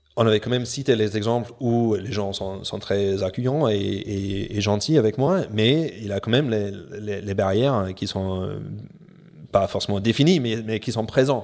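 A man speaks slowly, at a fairly slow pace. His voice is fairly low in pitch, with ordinary pitch variation. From New Zealand, Auckland. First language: English (speaking French). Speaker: professional sailor. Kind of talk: interview. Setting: at his home. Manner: halting.

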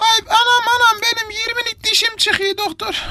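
Doing a put-on character voice, a woman speaks at a moderate pace with an extremely high pitch and monotone, flat intonation. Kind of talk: comic overacting. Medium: comedy sketch. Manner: whiny, flirtatious, exclaims "anam" and "ayol".

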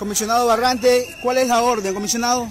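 With audible room echo around him, a man speaks at a fairly quick pace in an extremely high pitch and fairly even intonation.

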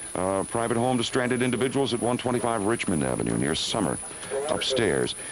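A man talks at a fairly quick pace. The sound is dry with no echo, with noticeable background noise. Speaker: radio newscaster reading closings and announcements. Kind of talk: live radio news bulletin reading closings. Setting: radio broadcast during a winter blizzard. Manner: hurried, conversational reading with ad-libbed asides. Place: studio. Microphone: old recording.

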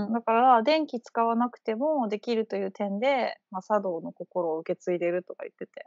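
Against a quiet background, a woman speaks at a moderate pace with lively intonation and big swings in loudness, in a dry sound with no echo. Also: fairly high pitch for a woman, hardly any pauses. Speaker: Japanese teacher. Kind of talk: casual conversation. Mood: relaxed, friendly. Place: home room. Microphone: video call.

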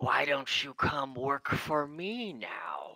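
A growling, put-on character voice at a low-to-middle pitch, delivered at a very slow pace. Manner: telepathic, inviting.

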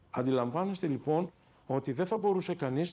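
The intonation of this male speaker is lively. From Greece, Athens (Patisia); Greece. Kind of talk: interview testimony. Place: office. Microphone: lapel.

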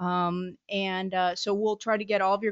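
A woman speaks with fairly even intonation over a quiet background. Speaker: webinar host, moderator. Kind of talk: webinar housekeeping announcements. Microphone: video call.

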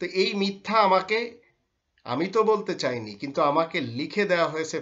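A man with a high pitch speaks with lively intonation against a quiet background. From Bangladesh. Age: 50s. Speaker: Islamic scholar. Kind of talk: religious lecture. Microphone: webcam.

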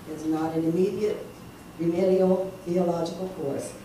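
Over noticeable background noise and audible room echo, a woman with a fairly low pitch speaks at a moderate pace. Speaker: preacher. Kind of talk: sermon. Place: church. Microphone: camera far.

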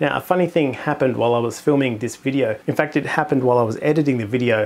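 Very fast speech from a man, with ordinary variation in pitch. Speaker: astronomy channel host. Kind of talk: product review commentary. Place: home room. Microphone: lapel.

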